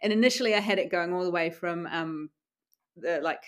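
A woman talks fairly quickly at a fairly low pitch in a very clean recording with a silent background. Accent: New Zealand. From New Zealand, Wellington. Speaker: doctor and adventurer. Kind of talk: interview. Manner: casual, hesitant with fillers.

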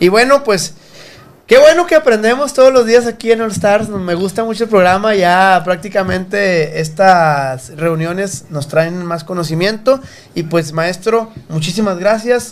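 A man speaks at a fairly slow pace in a high voice. His intonation is lively. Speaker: podcast host. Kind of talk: casual chat. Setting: studio.

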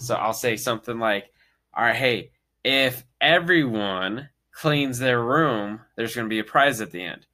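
A man with an unremarkable speaking voice talks fairly slowly at a medium pitch, with ordinary pitch variation. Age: 20s. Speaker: podcast guest and father. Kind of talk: casual chat.

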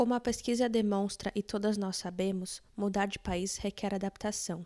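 A woman at medium pitch with a dark, mellow tone, monotone and flat, at a moderate pace, in a dry, close sound with no echo and a very clean recording over a silent background. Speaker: podcast host. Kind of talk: scripted narration.

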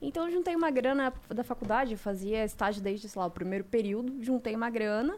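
Using an ordinary speaking voice, a woman talks at a fairly quick pace with hardly any pauses, her fairly high pitch paired with lively intonation. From Santa Catarina, Brazil (Mafra). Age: 30s. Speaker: advertising and social media professional. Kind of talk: casual chat.

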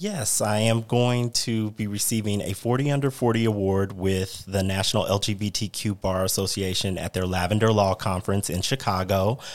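Here is a man with an American accent and an ordinary speaking voice, pitched fairly low. His intonation is fairly even, his pace moderate, with hardly any pauses. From Missouri. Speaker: lawyer. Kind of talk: casual chat.

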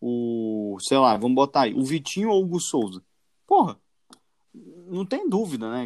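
A man speaks with very wide pitch swings. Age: 20s. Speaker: football podcast host. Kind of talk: casual chat.

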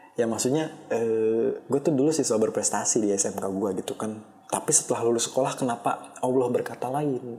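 Over noticeable background noise, a man at a medium pitch speaks at a fairly quick pace with ordinary pitch variation and hardly any pauses. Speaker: solo podcaster. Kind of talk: casual monologue. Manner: halting. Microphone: poor-quality microphone.

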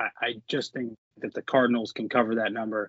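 An ordinary speaking voice at a moderate pace. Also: man. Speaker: sports bettor, office pool winner. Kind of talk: casual chat. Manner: rambling, filler-heavy with frequent uh and um.

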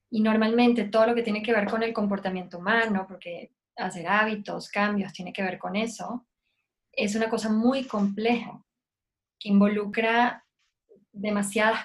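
The voice is somewhat breathy, with monotone, flat intonation. It moves at a moderate pace. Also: woman. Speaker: lactation specialist. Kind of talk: casual interview chat. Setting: video call.

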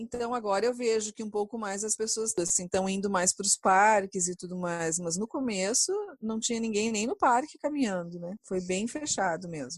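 Recorded in a dry, close sound with no echo, a woman with a plain, everyday voice speaks at a moderate pace and medium pitch with ordinary pitch variation. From Brazil. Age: 40s. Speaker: chemical engineer. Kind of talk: interview testimony.

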